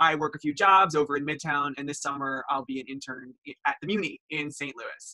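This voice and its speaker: Talking at a fairly quick pace, a man with a fairly high pitch speaks in an American accent. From Long Island, New York. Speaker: university student tour guide. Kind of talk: informational presentation. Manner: animated.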